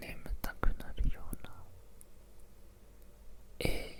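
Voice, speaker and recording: A whisper with noticeable background noise. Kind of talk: ASMR sleep video. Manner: whispered.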